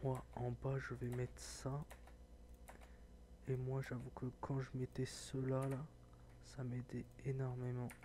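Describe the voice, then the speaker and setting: A soft-spoken man talks at a very slow pace. He leaves long, frequent pauses. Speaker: gaming tech youtuber. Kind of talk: tutorial.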